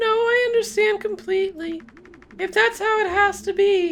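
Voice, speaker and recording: Putting on a squeaky character voice, a woman speaks at an extremely high pitch with ordinary pitch variation at a moderate pace. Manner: resigned, tearful.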